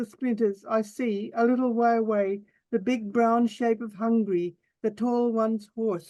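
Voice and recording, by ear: Against a quiet background, someone is reading aloud in a natural voice with fairly even intonation.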